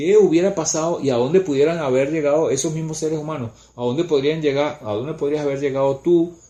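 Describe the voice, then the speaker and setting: The speech comes at a very fast pace with hardly any pauses. Intonation stays fairly even. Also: man, fairly high pitch for a man. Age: 60s. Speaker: spiritual teacher. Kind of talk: casual chat.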